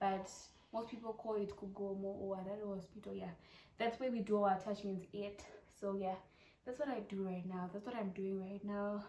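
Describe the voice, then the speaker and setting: A woman with a Zimbabwean accent speaks at a medium pitch and a moderate pace. Her intonation is monotone and flat, with noticeable background noise behind her. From Zimbabwe, Harare. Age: 20s. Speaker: YouTuber, medical student. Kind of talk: casual Q&A vlog. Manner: chatty, repetitive.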